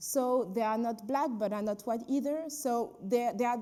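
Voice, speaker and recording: Noticeable background noise sits behind a woman with a French accent. Her pitch is high, with ordinary variation, at a moderate pace. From France, Paris. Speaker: filmmaker and activist. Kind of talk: panel discussion. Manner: halting.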